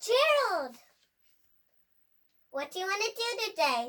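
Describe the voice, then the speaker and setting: A squeaky put-on character voice at an extremely high pitch swings very widely in pitch at a fairly slow pace. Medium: read story.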